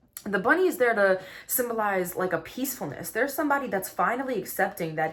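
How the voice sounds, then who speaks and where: An animated woman's voice with lively intonation, set against noticeable background noise. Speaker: tarot card reader. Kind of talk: tarot reading monologue. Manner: fast.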